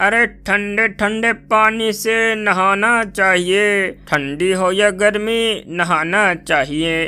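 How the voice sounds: A man in a cartoonish, high-pitched character voice speaks very slowly yet with hardly any pauses.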